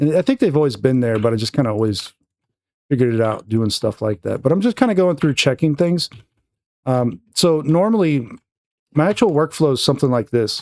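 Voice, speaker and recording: A man at a fairly quick pace and fairly high pitch, with lively intonation and a dry, close sound with no echo, on a very clean recording with a silent background. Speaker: 3D art tutorial creator. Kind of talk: tutorial. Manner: fast; casual, filler-heavy.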